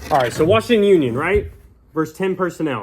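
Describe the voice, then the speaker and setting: On a very clean recording with a silent background, a man talks very fast in an animated tone with ordinary pitch variation. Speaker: high school football analyst. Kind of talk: sports breakdown video. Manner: casual, animated.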